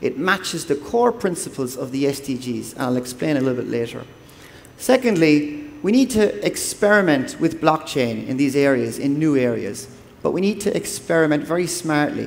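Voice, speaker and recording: Audible room echo surrounds a man with an Irish accent whose fairly high voice has lively intonation. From Ireland. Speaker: development agency official. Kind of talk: conference talk. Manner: fast.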